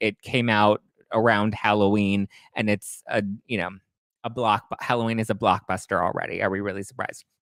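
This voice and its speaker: A man talks at a fairly low pitch, recorded with a dry, close sound and no echo. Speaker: podcast host. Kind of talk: live stream recap. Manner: fast; animated.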